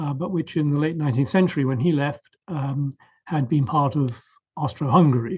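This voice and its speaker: Here a man speaks at a fairly quick pace, fairly high in pitch with ordinary variation. His voice is somewhat breathy. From southern England, Surrey. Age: 70s. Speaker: professor. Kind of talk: interview. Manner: hesitant fillers.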